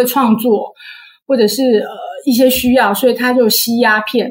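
A high-pitched woman's voice at a fairly slow pace. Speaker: author of books on Vietnam and its food. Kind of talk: interview.

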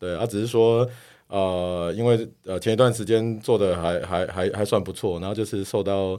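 A man's fairly low, dark, mellow voice with a strong Taiwanese accent, fairly even intonation and a moderate pace, on a very clean recording with a silent background. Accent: thick Taiwanese Mandarin. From Taiwan, Kaohsiung. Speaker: tech company executive. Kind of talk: casual interview chat.

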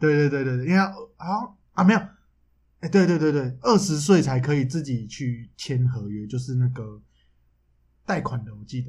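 A man's somewhat breathy, animated voice at a moderate pace, with big swings in loudness and long, frequent pauses. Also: medium pitch for a man, lively intonation. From Taiwan. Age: 20s. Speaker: podcast co-host. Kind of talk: casual chat. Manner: animated, frequent laughter.

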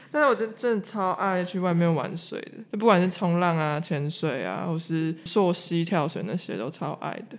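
Pauses barely occur. The delivery holds a moderate pace. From Taiwan, Hualien. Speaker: company staff member. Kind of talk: casual chat.

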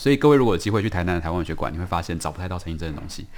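The voice carries a Taiwanese accent with ordinary pitch variation. The recording is very clean, with a silent background. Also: man. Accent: Taiwanese Mandarin. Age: young. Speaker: writer. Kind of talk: interview.

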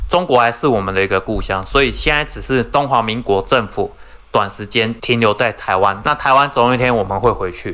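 Fairly quick speech from a man in a Taiwanese accent. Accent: Taiwanese Mandarin. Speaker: podcast co-host. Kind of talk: casual chat.

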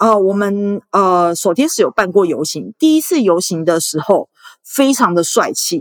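A woman talks with very wide pitch swings. The sound is dry and close, with no echo. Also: medium pitch for a woman, fairly slow pace. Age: 30s. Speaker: former sex worker and volunteer activist. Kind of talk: interview.

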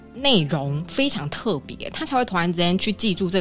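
Pitch swings very widely at a fairly quick pace. Noticeable background noise runs underneath. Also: woman. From Taiwan. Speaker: former flight attendant. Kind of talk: casual interview chat.

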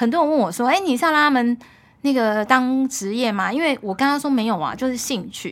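In a very clean recording with a silent background, a woman talks at a fairly quick pace. Her high pitch rises and falls with lively intonation. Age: 50s. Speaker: food importer and mother of three. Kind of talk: casual chat.

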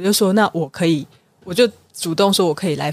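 A woman with a plain, everyday voice talks at a fairly quick pace with fairly even intonation. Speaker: philanthropy consultant and author. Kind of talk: interview.

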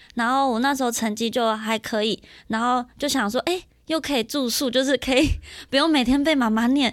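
Very clean recording with a silent background, a woman at a high pitch, fairly even intonation and a fairly quick pace. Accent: Taiwanese. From Miaoli, Taiwan. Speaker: podcast host. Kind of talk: casual chat. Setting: studio.

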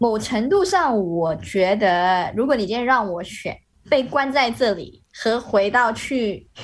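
With a plain, everyday voice, a woman speaks fairly slowly at a fairly high pitch, her intonation lively. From Malaysia. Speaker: Malaysian expat living in Shanghai. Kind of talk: casual interview chat. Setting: video call.

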